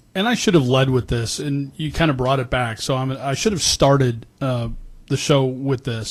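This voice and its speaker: Somewhat breathy, a man of medium pitch speaks over a quiet background. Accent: American. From Illinois, Chicago. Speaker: radio talk show host. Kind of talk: interview.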